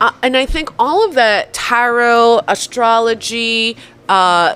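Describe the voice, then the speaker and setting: With a New Jersey accent, a woman speaks very slowly in a fairly high, bright, sharp voice with ordinary pitch variation. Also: very even loudness. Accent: New Jersey American. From New Jersey (North Arlington), US; born in Poland. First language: Polish. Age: 40s. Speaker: artist and videographer, professor. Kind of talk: casual chat.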